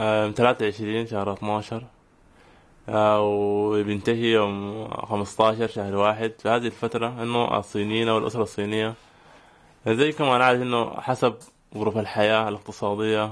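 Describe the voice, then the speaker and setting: A man speaks at a fairly slow pace and fairly low pitch. His intonation stays monotone and flat. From Sudan. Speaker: master's student. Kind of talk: radio interview. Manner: casual colloquial.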